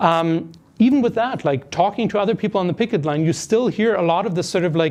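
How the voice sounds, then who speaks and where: A man's very fast, high-pitched speech with a German accent and ordinary pitch variation. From Germany. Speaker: part-time professor and union member. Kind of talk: podcast interview. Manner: hesitant, many fillers.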